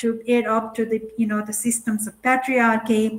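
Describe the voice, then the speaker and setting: The speech moves at a fairly slow pace. Room echo is audible. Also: woman. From Nepal, high mountain Himalayas. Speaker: academic keynote speaker. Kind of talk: conference keynote. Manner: halting, many fillers.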